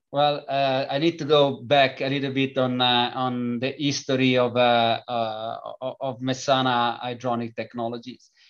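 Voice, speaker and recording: A man with an Italian accent, medium pitch, against a quiet background. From Italy. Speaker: company founder and engineer. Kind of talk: interview. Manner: halting, many fillers.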